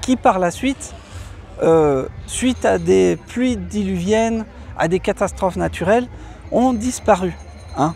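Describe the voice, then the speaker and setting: A man speaks at a very slow pace. His speech has long, frequent pauses, with music in the background. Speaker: travel vlogger. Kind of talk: casual vlog explanation. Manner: halting, many hesitations.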